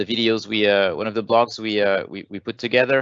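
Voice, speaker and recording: A man with a French accent speaks at a medium pitch. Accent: French accent, noticeable. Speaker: software program manager presenting a webinar. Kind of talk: webinar Q&A answering questions. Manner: hesitant, many filler sounds.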